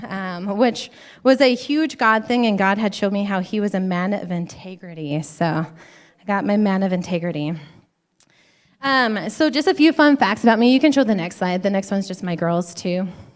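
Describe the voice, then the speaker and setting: In an American accent, a woman with a normal speaking voice talks at a moderate pace and medium pitch with lively intonation, on a very clean recording with a silent background. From Montana. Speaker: women's conference speaker, physician assistant. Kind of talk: church conference talk.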